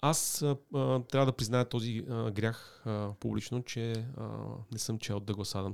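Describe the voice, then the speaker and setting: In a normal speaking voice, a man talks at a fairly slow pace and medium pitch with fairly even intonation, captured on a very clean recording with a silent background. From Sofia, Bulgaria. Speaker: digital media executive. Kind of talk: interview.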